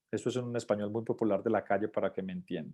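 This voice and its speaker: Dark, mellow male speech over a quiet background. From Colombia, Manizales. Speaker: LGBT business chamber spokesperson. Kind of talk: virtual talk with Q&A. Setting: video call. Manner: fast.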